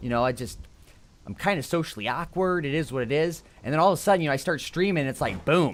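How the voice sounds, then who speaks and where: A man's fairly high, very fast voice with lively intonation, in an American accent. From US Midwest, Chicago / northwest Indiana area. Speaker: video game streamer. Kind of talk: casual live-stream gameplay chat.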